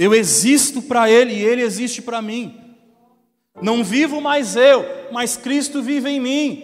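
Delivery is on the fairly slow side. The melody of the speech changes only a little. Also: man, extremely high pitch for a man. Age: young. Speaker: pastor. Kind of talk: sermon.

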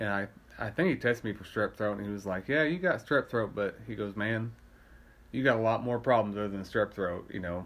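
A man with an American accent speaks in a normal speaking voice at a fairly low pitch. His pace is fairly quick and his pitch varies in an ordinary way. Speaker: podcast co-host. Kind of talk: casual chat.

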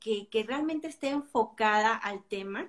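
A woman with an ordinary speaking voice speaks fairly slowly in a fairly high pitch, with lively intonation. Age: 50s. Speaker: book reviewer. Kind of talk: casual chat.

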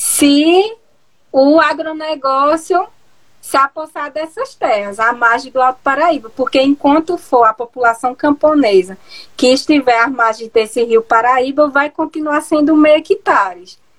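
Speaking fairly slowly, a woman uses a high pitch and lively intonation. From Pernambuco agreste, Brazil. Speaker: geographer and researcher. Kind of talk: interview. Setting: online live stream. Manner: hesitant, many fillers.

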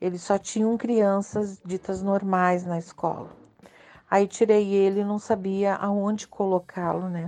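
This woman speaks at a medium pitch with a dark, mellow tone. Her intonation is monotone and flat, and her pace is fairly slow. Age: 50s. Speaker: mother of a special-needs son. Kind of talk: recorded testimony.

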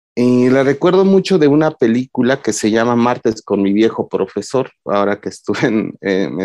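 With lively intonation and hardly any pauses, a man talks at a moderate pace in a dry, close sound with no echo. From Mexico, Oaxaca. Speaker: psychologist and lecturer on masculinities. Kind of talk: casual interview chat. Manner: halting, with many fillers.

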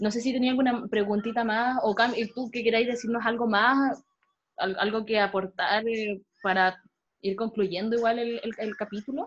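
A woman's fairly high, somewhat breathy voice at a moderate pace, with fairly even intonation. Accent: Chilean. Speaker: podcast host. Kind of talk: casual chat.

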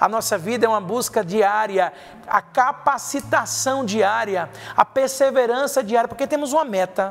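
A high-pitched man amid noticeable background noise. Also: ordinary pitch variation, moderate pace. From Brazil, Paraíba (João Pessoa). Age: 40s. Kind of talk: sermon.

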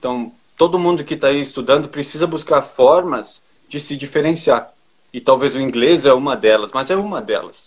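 Speaking with a southern Brazilian accent, a man with a fairly high pitch keeps a moderate pace while his loudness swings widely. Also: ordinary pitch variation. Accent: southern Brazilian (gaúcho) Portuguese. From Brazil, northwestern Rio Grande do Sul. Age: 20s. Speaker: agricultural engineer. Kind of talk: interview.

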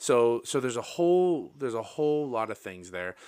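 A man with a plain, everyday voice and lively intonation at a moderate pace, on a very clean recording with a silent background. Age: 30s. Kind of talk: casual chat.

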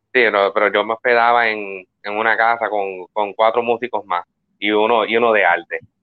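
A man speaks at a moderate pace with a fairly low pitch and monotone, flat intonation. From Puerto Rico, Quebradillas. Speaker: musician. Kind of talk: interview. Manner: halting.

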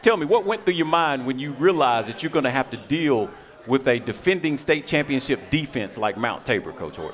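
Music plays in the background as a man speaks. His pitch is fairly high and his intonation is lively. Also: fairly quick pace. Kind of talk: high-energy sports radio host patter, hyping the crowd and bantering with coaches.

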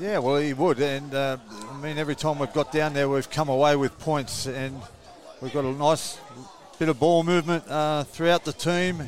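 This man has an unremarkable speaking voice. His pitch is fairly high, and his intonation stays fairly even. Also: moderate pace. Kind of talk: live sports commentary, co-commentator analysis. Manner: relaxed, conversational, casual banter.

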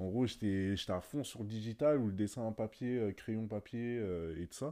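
A man speaks at a fairly low pitch with a dark, mellow tone and ordinary pitch variation, recorded very cleanly against a silent background. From Paris suburbs, France (Sarcelles). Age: 20s. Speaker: digital painter. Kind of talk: casual interview chat. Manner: hesitant, many fillers and repetitions.

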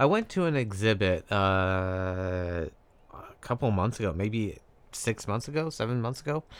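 A man speaks in a normal speaking voice, pitched fairly low. His pace is fairly slow and his intonation lively. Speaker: podcast co-host. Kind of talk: casual chat. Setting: remote recording.

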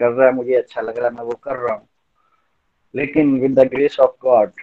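A man speaks in a plain, everyday voice. His pitch sits fairly high. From Chamba, Himachal Pradesh, India. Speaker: lawyer. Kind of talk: testimony.

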